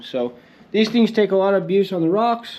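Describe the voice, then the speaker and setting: Against a quiet background, a man speaks at a high pitch and a fairly quick pace with lively intonation. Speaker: off-road buggy builder, video host. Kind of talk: casual workshop vlog. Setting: workshop.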